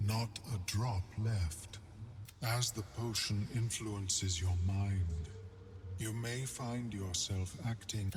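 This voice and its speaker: Over clear background noise, a man puts on a character voice with a fairly low pitch at a very slow pace. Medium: machinima. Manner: formal, measured, scholarly.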